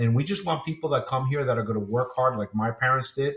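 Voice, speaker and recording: Speaking at a fairly quick pace, a man uses a plain, everyday voice with an American accent. His pitch is medium, with ordinary pitch variation. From New Jersey, US. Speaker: retired police officer and 9/11 survivor. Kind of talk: interview testimony.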